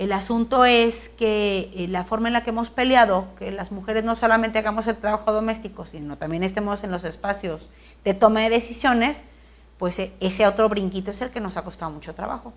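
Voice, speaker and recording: Speaking at a fairly quick pace, a woman with a fairly high pitch keeps her intonation fairly even while her loudness swings widely. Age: 40s. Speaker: politician. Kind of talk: interview.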